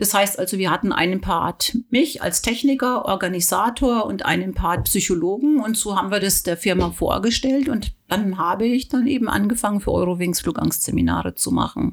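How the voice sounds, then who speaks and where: A woman of medium pitch speaks with vocal fry at a moderate pace, showing ordinary pitch variation and hardly any pauses. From southern Germany, Weingarten. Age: 50s. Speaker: pilot and anxiety coach. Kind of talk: casual interview.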